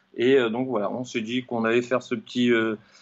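The speaker is a man. His voice is medium in pitch. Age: 40s. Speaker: running coach and fitness trainer. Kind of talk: interview. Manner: halting.

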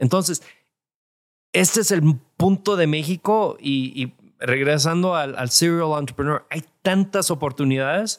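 Fairly high-pitched man with a plain, everyday voice, ordinary pitch variation and a fairly slow pace, on a very clean recording with a silent background. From California, Mexican family from Jalisco. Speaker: tech entrepreneur. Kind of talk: interview. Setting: live event recording.

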